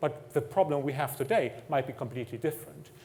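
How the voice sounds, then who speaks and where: A man with a German accent talks with lively intonation. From Germany. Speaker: technology executive. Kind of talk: conference talk.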